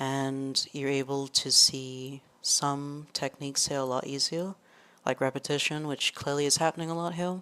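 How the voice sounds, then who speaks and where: On a very clean recording with a silent background, a woman speaks with very deep, low pitch and monotone, flat intonation. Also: moderate pace. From Trinidad. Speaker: exam tutor. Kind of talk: tutorial. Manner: casual, hesitant with fillers.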